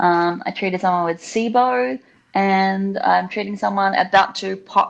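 A woman speaks with a New Zealand accent against a quiet background. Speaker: facial acupuncturist. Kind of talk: interview. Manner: animated.

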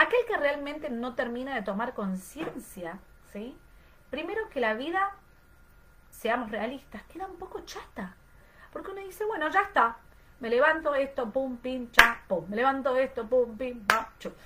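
A raised, projected voice swings very widely in pitch at a fairly slow pace amid noticeable background noise. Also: woman, high pitch for a woman, big swings in loudness. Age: 30s. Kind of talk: online class lecture.

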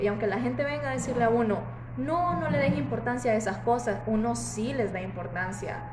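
A woman's moderate-paced speech comes through audible room echo and noticeable background noise. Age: 20s. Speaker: design student and café worker. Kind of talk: casual chat. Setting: café.

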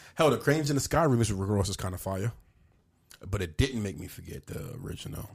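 Very fast speech with lively intonation, big swings in loudness and a somewhat breathy quality. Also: man, fairly low pitch for a man. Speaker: podcast co-host. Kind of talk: casual chat.

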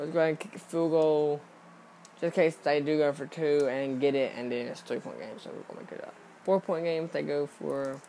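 A man with a normal speaking voice talks at a fairly quick pace and fairly high pitch, with fairly even intonation and big swings in loudness. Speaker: podcast host. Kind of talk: casual solo podcast about sports and games. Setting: home recording, screen recording while playing games. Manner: rambling, filler words, repeats himself; casual, informal.

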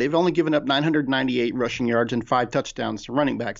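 A man speaks in a fairly high voice. His pitch varies in an ordinary way. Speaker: fantasy football analyst. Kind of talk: podcast discussion, casual sports analysis. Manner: hesitant, filler words.

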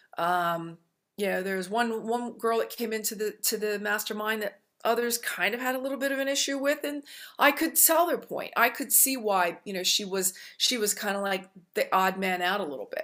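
A woman speaks with a fairly high pitch, a bright, sharp tone and lively intonation. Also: moderate pace. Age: 60s. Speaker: self-esteem author and coach. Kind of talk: interview. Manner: halting.

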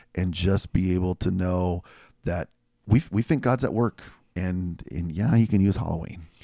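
A man with a very deep, low pitch speaks at a moderate pace with ordinary pitch variation, captured dry, close and echo-free in a very clean recording with a silent background. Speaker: pastor. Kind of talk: casual chat.

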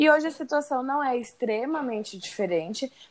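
With a high pitch and lively intonation, a woman speaks. Her pace is moderate. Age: 20s. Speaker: guest, friend and former coworker of host. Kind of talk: casual chat.

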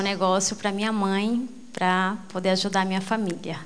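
A woman at a medium pitch talks at a moderate pace, with audible room echo. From Brazil, Mato Grosso (Rondonópolis). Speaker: businesswoman, network marketing. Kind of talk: motivational speech.

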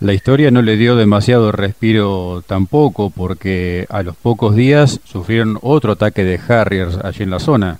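A man with an ordinary speaking voice talks at a fairly low pitch with ordinary pitch variation. His pace is fairly slow, with hardly any pauses. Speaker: radio host. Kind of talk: interview. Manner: formal.

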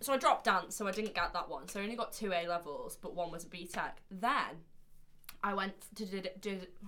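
Loud and very fast, a woman speaks at medium pitch with a bright, sharp tone. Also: ordinary pitch variation. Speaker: podcast co-host. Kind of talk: casual chat. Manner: animated.

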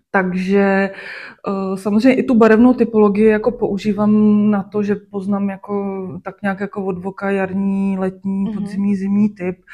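A woman speaks at a medium pitch and fairly slow pace, her voice somewhat breathy with a dark, mellow tone and monotone, flat intonation. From Czech Republic, Sušice and Klatovy. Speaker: fashion designer. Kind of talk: interview. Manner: filler-heavy, casual.

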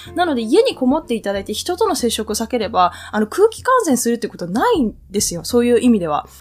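With music in the background, a woman talks at a very fast pace in a high pitch, her pitch swinging very widely and hardly any pauses. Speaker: podcast host. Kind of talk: casual solo talk. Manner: hesitant with frequent fillers.

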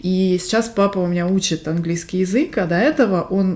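A woman speaks at a fairly slow pace and medium pitch. She has a normal speaking voice. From Siberia, Russia (Barnaul). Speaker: podcast co-host. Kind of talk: casual chat.

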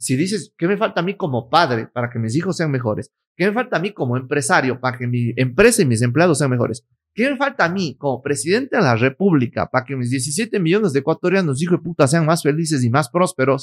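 A man talks very fast with hardly any pauses, fairly high and with lively intonation. The sound is dry and close, with no echo. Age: 30s. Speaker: lawyer, influencer and entrepreneur. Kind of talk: casual interview. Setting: his office.

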